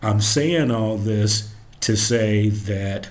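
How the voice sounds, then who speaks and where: A man's voice with audible room echo. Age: 60s. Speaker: commentary podcast host. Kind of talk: solo commentary monologue.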